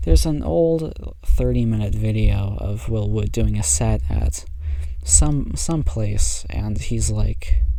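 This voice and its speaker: A soft-spoken man with a very deep, low pitch and ordinary pitch variation is heard through audible room echo and noticeable background noise. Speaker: amateur pianist vlogger. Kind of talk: casual monologue. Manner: halting.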